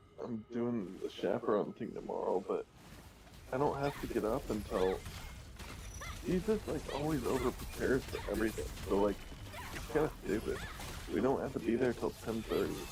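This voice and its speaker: With noticeable noise behind him, a man keeps a moderate pace but stops often for long pauses. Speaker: gamer streamer. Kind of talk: casual chat.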